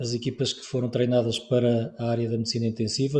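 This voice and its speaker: A man speaks with a European Portuguese accent at medium pitch. His intonation is monotone and flat. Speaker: webinar moderator. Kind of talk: webinar moderation.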